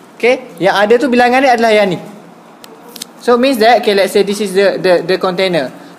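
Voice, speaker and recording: The pace is moderate, and background noise is noticeable. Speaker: maths teacher. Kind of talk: tutorial.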